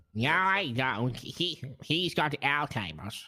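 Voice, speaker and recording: A man's put-on character voice, fairly high in pitch, very slow, with lively intonation. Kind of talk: comic overacting. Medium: game stream.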